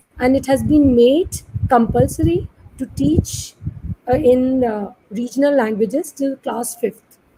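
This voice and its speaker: Talking at a fairly slow pace with an Indian accent, a woman uses a high pitch and ordinary pitch variation. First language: Hindi. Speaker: moderator. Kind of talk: panel discussion. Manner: formal.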